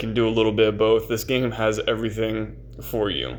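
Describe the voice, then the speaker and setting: The voice belongs to a man. Its pitch is medium. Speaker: gaming YouTuber. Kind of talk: casual gaming commentary.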